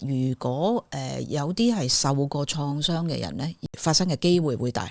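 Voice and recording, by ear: The pace is moderate. The intonation is lively. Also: woman, low pitch for a woman.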